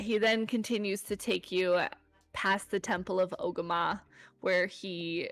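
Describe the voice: The clip consists of plain reading aloud.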